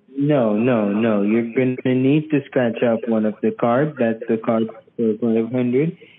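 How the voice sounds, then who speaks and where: Over light background noise, a man speaks at a very slow pace with very even loudness and fairly even intonation. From Jamaica. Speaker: phone scammer. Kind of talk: scam phone call. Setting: phone call. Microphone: phone line.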